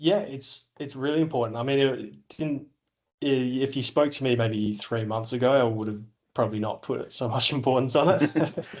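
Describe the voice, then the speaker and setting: A man of medium pitch with an Australian accent and ordinary pitch variation. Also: moderate pace. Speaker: business owner. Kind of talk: podcast interview. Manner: halting, many filler words.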